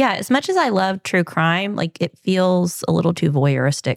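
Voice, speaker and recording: Lively intonation with vocal fry at a moderate pace, in a very clean recording with a silent background and a dry, close sound with no echo. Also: woman. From Kentucky, small town. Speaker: real estate agent and podcast co-host. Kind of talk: casual chat.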